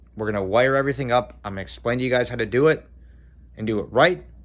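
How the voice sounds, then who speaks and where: Vocal fry runs through very fast speech with ordinary pitch variation. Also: man. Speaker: cosplay maker, video creator. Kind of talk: casual vlog outro. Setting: garage. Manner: hesitant, filler words.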